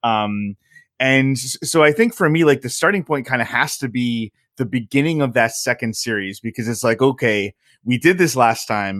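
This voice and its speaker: A man speaks at a moderate pace and medium pitch, with ordinary pitch variation, in an unremarkable speaking voice. The sound is dry and close with no echo, on a very clean recording with a silent background. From Southern Connecticut, US. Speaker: hockey blogger. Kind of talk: casual chat.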